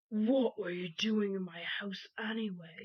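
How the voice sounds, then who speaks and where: Using a put-on character voice, a woman talks at a fairly slow pace. Her pitch sits in the medium range. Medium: audio drama. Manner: threatening.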